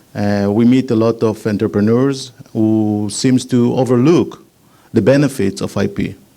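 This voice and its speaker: Speaking with an Israeli accent, a man uses a fairly low, dark and mellow voice with fairly even intonation. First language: Hebrew. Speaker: patent attorney, startup consultant. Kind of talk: business presentation. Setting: meetup with live audience.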